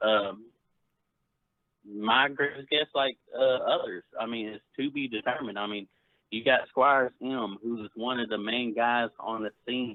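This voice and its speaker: An ordinary speaking voice, a man's, at a fairly slow pace with fairly even intonation. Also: medium pitch for a man. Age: 40s. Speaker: caller on a gaming livestream. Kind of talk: casual chat.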